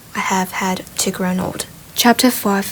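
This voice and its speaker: Noticeable background noise accompanies a woman whose intonation stays fairly even. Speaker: ASMR reader of a book, sleep aid. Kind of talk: soft ASMR-style audiobook reading for sleep.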